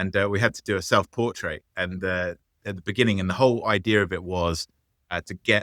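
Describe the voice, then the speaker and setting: In a very clean recording with a silent background and a dry, close sound with no echo, a man with an English accent speaks at a very fast pace, his very deep, low pitch paired with a bright, sharp tone and fairly even intonation. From England. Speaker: business founder. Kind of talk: interview. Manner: halting, many fillers.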